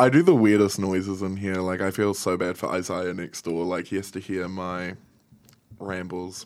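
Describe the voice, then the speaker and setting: Very deep, low male speech in a New Zealand accent, monotone and flat, at a moderate pace, on a very clean recording with a silent background. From New Zealand, Wellington. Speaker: podcast producer. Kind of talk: casual chat. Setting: studio.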